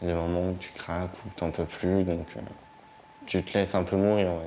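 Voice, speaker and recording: Over noticeable background noise, a man with a very deep, low pitch talks at a moderate pace in a monotone, flat delivery. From northern France, Vernon, Normandy. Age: 20s. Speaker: young homeless resident of a shelter. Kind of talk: documentary interview testimony. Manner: halting.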